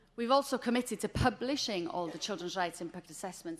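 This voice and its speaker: A woman at a very fast pace and a medium pitch. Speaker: government official. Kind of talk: conference presentation.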